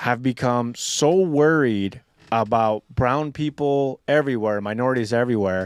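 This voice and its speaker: A man's normal speaking voice at medium pitch with ordinary pitch variation, on a very clean recording with a silent background. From USA, Mexican-American family. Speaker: military veteran and political activist. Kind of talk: casual podcast discussion.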